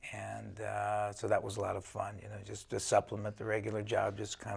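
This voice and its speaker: With an American accent, a man speaks at a fairly quick pace with hardly any pauses. His voice is fairly low with vocal fry and monotone, flat intonation. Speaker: high school football coach, teacher. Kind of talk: interview answer. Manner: soft-spoken, polite.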